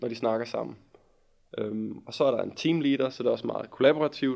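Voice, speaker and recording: A man with a medium pitch and a plain, everyday voice, at a moderate pace with ordinary pitch variation against a quiet background. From West Jutland, Denmark (near Holstebro). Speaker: teacher student. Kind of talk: casual chat.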